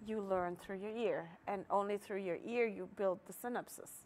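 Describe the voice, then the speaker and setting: A woman speaks at a medium pitch. She talks with a German accent. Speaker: market organizer. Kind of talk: casual interview.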